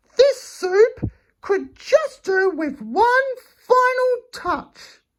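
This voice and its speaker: A man doing a put-on character voice, squeaky and extremely high-pitched. He speaks very slowly. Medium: read story. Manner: sly, wheedling.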